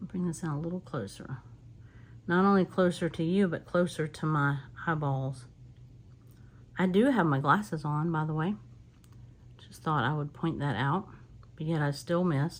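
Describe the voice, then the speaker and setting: A woman with a Southern US accent and a very deep, low pitch speaks at a moderate pace with ordinary pitch variation. She leaves long, frequent pauses on a very clean recording with a silent background. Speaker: card making crafter. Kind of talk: crafting tutorial. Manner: casual, chatty with fillers.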